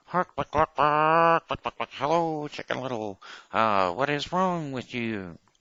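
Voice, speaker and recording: This is a put-on character voice pitched low-to-middle. It moves at a fairly slow pace. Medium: read story.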